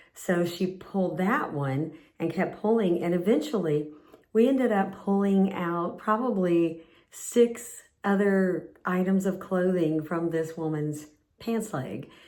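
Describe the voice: A woman with a fairly low pitch and a slightly mellow tone speaks at a slow pace, with ordinary pitch variation and audible room echo.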